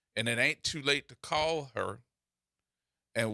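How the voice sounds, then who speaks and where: In an American accent, a man talks at a fairly slow pace with a bright, sharp, animated tone and ordinary pitch variation, in a dry, close sound with no echo. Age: 50s. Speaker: radio host. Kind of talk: casual chat.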